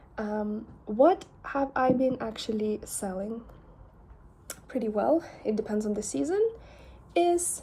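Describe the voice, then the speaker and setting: A woman with a Lithuanian accent, fairly high in pitch, somewhat breathy with a dark, mellow tone, at a very slow pace. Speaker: artist and vlogger. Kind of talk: casual vlog. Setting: selfie camera.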